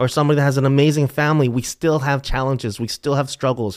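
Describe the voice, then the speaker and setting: In an ordinary speaking voice, a man with an American accent talks at a fairly high pitch with fairly even intonation. The recording is very clean, with a silent background. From US, Philadelphia area. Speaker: soccer coach. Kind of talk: casual chat.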